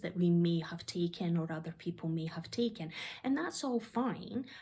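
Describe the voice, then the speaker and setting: A woman speaks in a fairly low voice. Her pitch varies in an ordinary way. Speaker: self-development coach and vlogger. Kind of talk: personal vlog monologue. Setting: living room at home. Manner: projecting voice louder.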